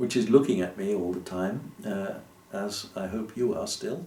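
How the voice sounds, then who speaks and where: Against noticeable background noise and audible room echo, a man speaks fairly slowly with very wide pitch swings. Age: old. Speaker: YouTuber. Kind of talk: casual monologue to camera. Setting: alone in a room with lights. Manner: halting, many fillers.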